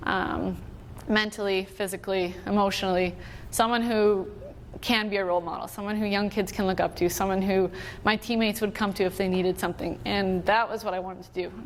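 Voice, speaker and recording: At a fairly quick pace, a medium-pitched woman with a Canadian prairie accent speaks with monotone, flat intonation. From Manitoba, Canada. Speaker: Olympic hockey player. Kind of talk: motivational talk.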